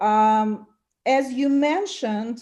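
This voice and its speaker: At a very slow pace, a dark, mellow tone carries a non-native accent with ordinary pitch variation on a very clean recording with a silent background. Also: woman. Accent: foreign. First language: not English. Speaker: self-represented litigant. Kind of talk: court hearing.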